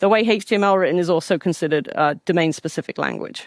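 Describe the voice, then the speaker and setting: A woman speaks very fast in an American accent with lively intonation. The sound is dry and close with no echo, on a very clean recording with a silent background. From England. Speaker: conference speaker, data platform engineer. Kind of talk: technical conference talk.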